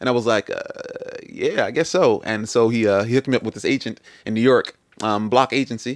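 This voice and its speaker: Someone with a Philadelphia accent talks at a very fast pace with fairly even intonation. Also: man, medium pitch for a man. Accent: US East Coast (Philadelphia area). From Camden, New Jersey (US), Nigerian parents. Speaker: musician and dancer. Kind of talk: casual interview.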